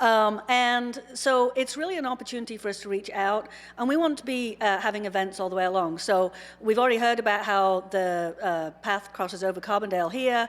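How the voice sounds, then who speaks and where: A woman with a fairly high voice and ordinary pitch variation speaks at a fairly quick pace on a very clean recording with a silent background. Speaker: astronomy professor. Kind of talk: conference talk. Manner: loud.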